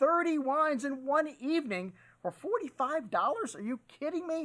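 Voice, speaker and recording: There is a man speaking against a quiet background. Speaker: wine shop host. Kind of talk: promotional presenter talk. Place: studio.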